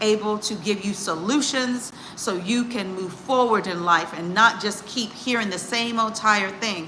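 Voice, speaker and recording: With an American accent, a woman speaks at a fairly high pitch amid audible room echo and noticeable background noise. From United States. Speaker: executive coach and psychologist. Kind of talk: casual live stream talk. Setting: live stream. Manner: casual, halting.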